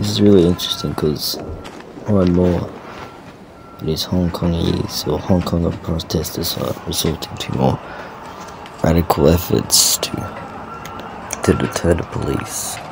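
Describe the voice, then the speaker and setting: Amid noticeable background noise, a man with a very deep, low pitch speaks at a fairly slow pace, using ordinary pitch variation and long, frequent pauses. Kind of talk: casual news commentary voice-over.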